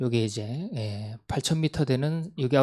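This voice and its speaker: A man's medium-pitched voice at a fairly slow pace with ordinary pitch variation, on a very clean recording with a silent background. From Gangwon Province, South Korea (Gangneung). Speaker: missionary. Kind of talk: mission report talk.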